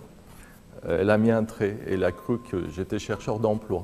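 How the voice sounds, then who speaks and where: A man with a Persian accent speaks in a dark, mellow tone. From Iran. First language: Persian (speaking French). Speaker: researcher in exile. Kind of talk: interview testimony. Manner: hesitant, many fillers.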